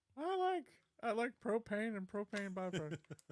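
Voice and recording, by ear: Someone uses a put-on character voice, fairly high in pitch, at a moderate pace.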